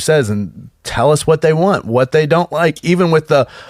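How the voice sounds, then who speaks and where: A man with a fairly high voice talks at a fairly quick pace, his pitch varying in an ordinary way. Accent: Kentucky. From Kentucky. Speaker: film sound professional. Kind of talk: casual group interview.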